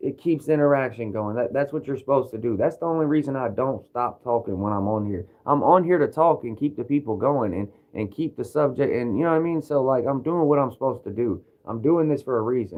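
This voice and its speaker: Talking at a very fast pace with hardly any pauses, a man with a Kentucky accent uses a medium pitch and ordinary pitch variation. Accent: Kentucky Southern US. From Kentucky, US South. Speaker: livestreamer. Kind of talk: casual livestream monologue. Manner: animated, energetic.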